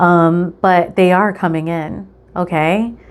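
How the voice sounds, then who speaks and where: Her voice is fairly low in pitch, a woman with an American accent. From New York City, the Bronx. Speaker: tarot reader. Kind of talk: tarot reading video. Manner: casual, filler-heavy with frequent ums.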